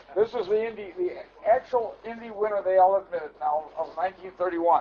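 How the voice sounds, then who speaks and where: Amid noticeable background noise, a man speaks with a high pitch at a fairly quick pace. His loudness shifts in big swings. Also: ordinary pitch variation. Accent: American. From Milwaukee, Wisconsin. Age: 80s+. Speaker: car collector. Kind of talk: guided tour. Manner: halting, many repetitions.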